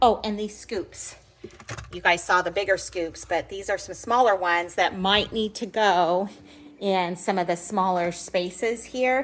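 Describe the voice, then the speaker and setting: A woman has an ordinary speaking voice at a medium pitch. She talks at a fairly slow pace with fairly even intonation. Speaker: home and party organizing vlogger. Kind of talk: casual show-and-tell vlog. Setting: at home. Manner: chatty, self-correcting.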